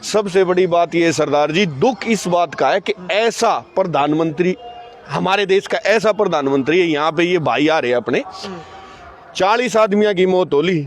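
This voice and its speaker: Noticeable background noise sits behind a man with a high pitch. His loudness is very even and his pitch varies in an ordinary way. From Haryana. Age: old. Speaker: farmer protester. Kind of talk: impassioned interview answer at protest.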